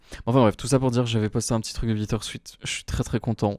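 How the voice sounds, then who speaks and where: A man with fairly even intonation in a very clean recording with a silent background. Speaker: solo podcaster. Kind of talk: casual monologue. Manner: hesitant, many fillers.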